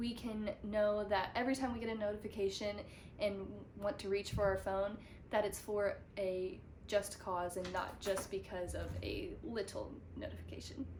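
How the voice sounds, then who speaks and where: Audible room echo surrounds a woman whose voice carries vocal fry. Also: medium pitch for a woman, fairly even intonation, moderate pace. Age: 20s. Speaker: student presenter. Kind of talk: educational presentation.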